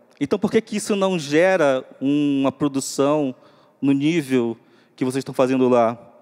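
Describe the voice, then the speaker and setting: A man speaks at a fairly slow pace with a fairly high pitch and ordinary pitch variation. The sound is dry and close, with no echo. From Upper Rio Negro, northwest Amazon, Brazil. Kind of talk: panel talk. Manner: halting.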